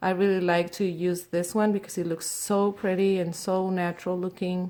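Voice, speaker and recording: A woman's medium-pitched voice with a dark, mellow tone and a Spanish accent. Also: very clean recording, silent background. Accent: Spanish accent, noticeable. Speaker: nail technician. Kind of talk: tutorial. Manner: halting, with fillers.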